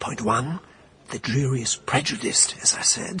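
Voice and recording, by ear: Putting on a character voice, a man speaks fairly slowly with a husky, rough edge, a bright, sharp tone and lively intonation. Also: medium pitch for a man.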